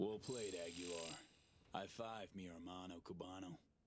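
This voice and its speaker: Putting on a character voice, a man speaks at a moderate pace in a raspy, very deep, low voice. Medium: video game. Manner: laid-back, dry.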